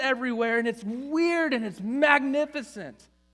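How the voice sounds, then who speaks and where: Extremely high pitch from a man with an animated tone at a moderate pace. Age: 40s. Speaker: pastor. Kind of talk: sermon. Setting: church.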